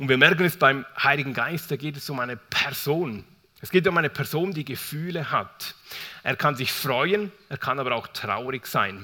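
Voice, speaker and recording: A man's fairly high-pitched voice with a bright, sharp tone. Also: ordinary pitch variation. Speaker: preacher. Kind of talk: sermon. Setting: church. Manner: warm, conversational and unhurried, storytelling with an open, personal tone.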